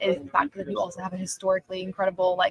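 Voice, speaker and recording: The voice is somewhat breathy and moves at a fairly quick pace. The sound is dry and close, with no echo. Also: woman. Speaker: sports journalist. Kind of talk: live stream Q&A. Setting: press room at arena. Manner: fast. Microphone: audio issues.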